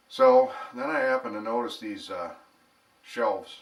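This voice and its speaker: A man with a relaxed tone talks in a room with audible echo and noticeable background noise. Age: 60s. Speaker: home bar hobbyist and vlogger. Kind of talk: casual storytelling monologue. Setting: at home. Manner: relaxed, conversational with filler words.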